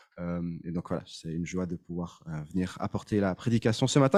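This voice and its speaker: The voice has a slight Swiss French accent and a dark, mellow tone, moving at a moderate pace. The sound is dry and close with no echo, on a very clean recording with a silent background. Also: man. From Switzerland. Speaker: pastor. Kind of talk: sermon. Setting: church. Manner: halting.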